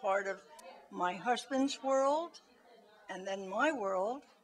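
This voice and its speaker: Against noticeable background noise, a woman speaks at a fairly high pitch with lively intonation. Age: 70s. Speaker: navy supporter. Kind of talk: interview.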